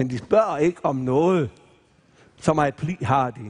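Man speaking at a fairly slow pace against a quiet background. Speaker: retired missionary preacher. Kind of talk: sermon / Bible preaching at a camp meeting. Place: stage. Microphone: headset.

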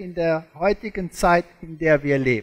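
Very slow speech in a non-native accent against a quiet background. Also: man. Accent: foreign, non-native German. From South Africa. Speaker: creationist lecturer, former zoology professor. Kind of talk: lecture. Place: stage.

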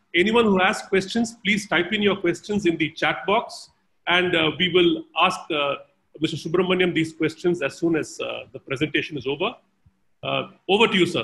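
This man's voice sits at a high pitch. His pitch variation is ordinary. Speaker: event host introducing a speaker. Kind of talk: formal introduction. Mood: respectful, honored. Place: home room. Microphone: video call.

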